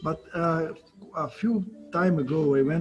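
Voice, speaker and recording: A man with a Brazilian accent and ordinary pitch variation. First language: Portuguese. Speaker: cell biology professor. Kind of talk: lecture. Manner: hesitant.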